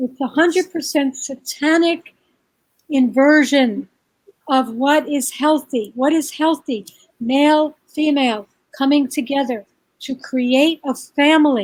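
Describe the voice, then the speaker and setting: Here a woman speaks with an American accent. Her pitch is high and her pace fairly slow. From New York. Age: 60s. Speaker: birth and parenting educator. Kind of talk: interview. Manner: animated.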